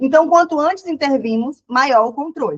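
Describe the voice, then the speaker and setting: A woman's voice makes very wide pitch swings. The sound is dry and close, with no echo. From Ceará, Brazil. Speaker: psychologist. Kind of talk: online lecture. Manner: fast; casual, self-correcting.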